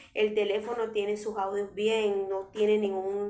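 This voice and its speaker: A fairly high-pitched woman talks at a moderate pace, with audible room echo and noticeable background noise. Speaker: preacher. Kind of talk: sermon. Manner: loud. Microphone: viewers say audio is very quiet.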